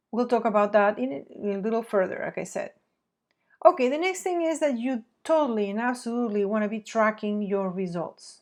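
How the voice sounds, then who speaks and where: A woman with a fairly high pitch and a non-native accent speaks against a quiet background. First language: not English. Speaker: marketing agency president. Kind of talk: webinar presentation.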